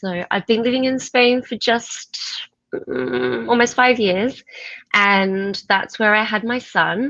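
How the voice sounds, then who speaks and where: With an Australian accent and a bright, sharp tone, a woman speaks at a very slow pace, using a fairly high pitch and ordinary pitch variation. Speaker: teacher and author. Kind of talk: interview.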